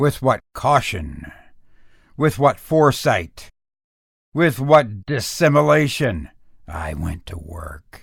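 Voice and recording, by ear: A man puts on a character voice at a medium pitch, speaking slowly with a fairly bright tone, a slightly husky edge, vocal fry and big pitch swings, on a very clean recording with a silent background.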